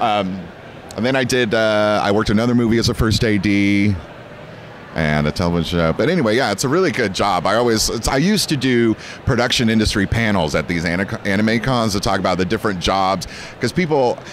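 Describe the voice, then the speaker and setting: In a dry recording with no echo and light background noise, a man with a fairly low voice and an American accent talks at a fairly quick pace with ordinary pitch variation and very even loudness. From California. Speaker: voice actor and anime dub director; voice actor. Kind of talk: convention interview. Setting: anime convention. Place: hall. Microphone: handheld.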